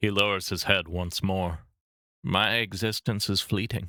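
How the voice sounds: Fairly even intonation shapes a natural reading voice. Behind it, the background stays quiet.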